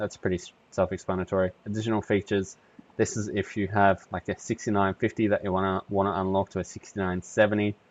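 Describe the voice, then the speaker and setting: A man with an Australian accent at a fairly low pitch, very fast and monotone with flat intonation. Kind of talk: casual tech tutorial. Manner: casual, hesitant with fillers.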